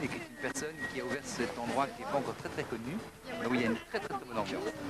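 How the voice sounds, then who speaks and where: Music plays in the background. Over it, a man speaks very fast at a fairly high pitch. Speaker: Brussels nightlife and event figure. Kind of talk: TV interview answer.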